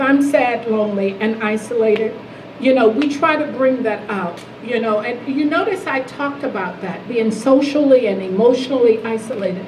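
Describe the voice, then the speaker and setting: A fairly high-pitched woman with an American accent at a moderate pace, with audible room echo and noticeable background noise. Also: ordinary pitch variation. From US South. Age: 70s. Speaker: health advocacy leader, keynote speaker. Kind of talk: Q&A after keynote speech. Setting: lunch event with audience. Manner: halting.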